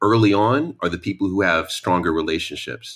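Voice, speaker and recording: With a New York accent, a man talks at a moderate pace in a fairly low voice, animated and energetic, with lively intonation. The recording is very clean and the background silent. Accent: New York American. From New York, US. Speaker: author and matchmaker. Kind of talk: casual chat. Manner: animated, energetic.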